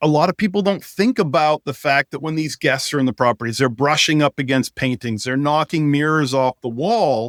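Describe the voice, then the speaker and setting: Male speaker with a normal speaking voice, lively intonation and a fairly quick pace, in a very clean recording with a silent background and a dry, close sound with no echo. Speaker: vacation rental safety expert. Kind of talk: interview answer.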